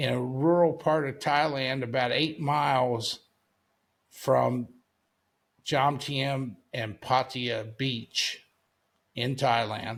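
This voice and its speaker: Speaking very slowly with long, frequent pauses, a man keeps his intonation fairly even. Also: medium pitch for a man. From United States. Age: 70s. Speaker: retired Bitcoin investor. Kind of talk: interview. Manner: casual, conversational.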